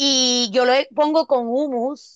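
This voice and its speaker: In a Puerto Rican accent, a woman speaks at a high pitch with ordinary variation, the sound dry and close with no echo. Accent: Puerto Rican, particular and pleasant. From Puerto Rico. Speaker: podcast co-host. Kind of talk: casual chat.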